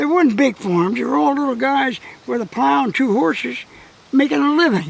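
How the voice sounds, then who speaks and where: A man with an American accent at a moderate pace, very wide pitch swings and noticeable background noise. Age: 80s+. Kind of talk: interview answer. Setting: outdoors.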